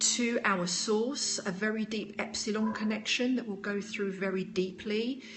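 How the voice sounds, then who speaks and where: A woman with a British accent speaks at a fairly slow pace in a fairly high pitch, her intonation fairly even, with audible room echo and noticeable background noise. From United Kingdom. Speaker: spiritual teacher. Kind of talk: live stream talk with viewer questions.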